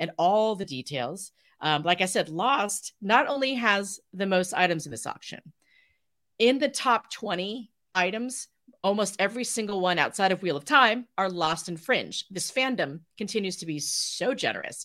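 A woman's medium-pitched voice, bright and sharp in tone, animated, with lively intonation, on a very clean recording with a silent background. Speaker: charity founder. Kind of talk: casual chat. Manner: fast.

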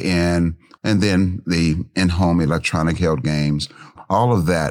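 Speaking at a fairly slow pace, a man with an American accent shows ordinary pitch variation. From US Midwest, Cincinnati, Ohio. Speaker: esports entrepreneur. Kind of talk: interview.

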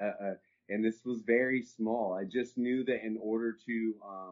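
With a Texan accent, a man speaks at a medium pitch and fairly even intonation. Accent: Texan American. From Texas. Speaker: cannabis entrepreneur. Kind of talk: interview conversation.

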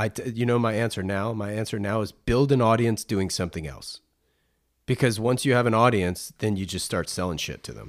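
A man with an ordinary speaking voice, fairly low pitch, ordinary pitch variation and a fairly quick pace. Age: 40s. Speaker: podcast host. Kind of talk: casual interview chat; scripted narration. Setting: video call.

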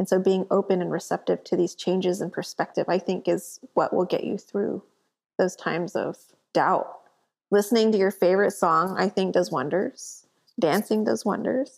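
Her pitch medium and its variation ordinary, a woman talks at a moderate pace. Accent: American. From Corpus Christi, Texas. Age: 30s. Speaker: artist and entrepreneur. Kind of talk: casual interview chat. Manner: animated.

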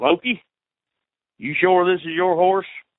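A man puts on a growling character voice at a high pitch. He keeps a moderate pace with ordinary pitch variation. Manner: growling, suspicious.

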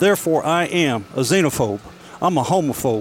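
A man speaks with music in the background. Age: 70s. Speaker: retiree, political discussion participant. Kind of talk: casual chat. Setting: beer hall.

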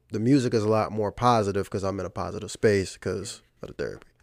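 Here a man talks at a very fast pace with a fairly low pitch and fairly even intonation. The recording is very clean, with a silent background. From Virginia. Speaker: musician and digital marketer. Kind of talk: casual interview chat.

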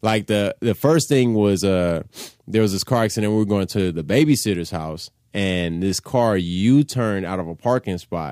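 On a very clean recording with a silent background, a man with an American accent and an ordinary speaking voice talks at a moderate pace, his fairly low pitch varying in an ordinary way. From Los Angeles, Koreatown. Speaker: comedian and rapper. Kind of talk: casual chat.

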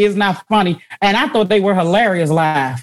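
At a moderate pace, a woman speaks in an animated tone with lively intonation. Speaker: podcast host and comedian. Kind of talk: casual interview chat. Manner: animated, laughs often.

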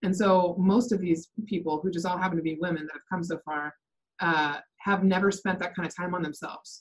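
Talking at a fairly quick pace, a woman has an American accent and a fairly low pitch. Her voice is somewhat breathy, with fairly even intonation. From US Pacific Northwest, Seattle area. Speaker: real estate team operations manager. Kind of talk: interview.

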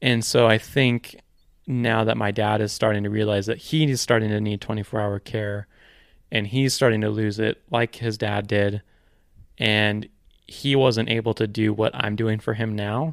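With an American accent, a man speaks at a fairly low pitch and a moderate pace in a monotone, flat intonation, on a very clean recording with a silent background. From Ashland, US Pacific Northwest. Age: 20s. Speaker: web designer and podcaster. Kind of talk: casual interview chat. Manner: halting, many fillers.

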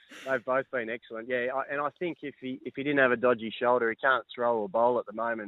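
An excited-sounding man talks at a fairly quick pace. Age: 30s. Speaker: professional cricketer. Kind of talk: interview.

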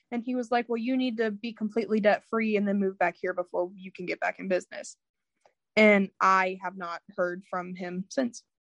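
A plain, everyday voice with an American accent, fairly even intonation and a moderate pace, dry and close with no echo. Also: woman, medium pitch for a woman. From Indiana, US Midwest. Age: 20s. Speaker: former multi-level marketing member. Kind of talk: interview testimony. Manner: casual, with many fillers.

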